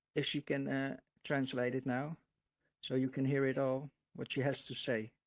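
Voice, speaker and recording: A man with a Dutch accent speaks at a moderate pace and medium pitch in a flat, monotone way, the sound dry and close with no echo. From Netherlands. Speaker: religious video creator. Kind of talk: casual monologue to camera. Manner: halting, many fillers and repetitions.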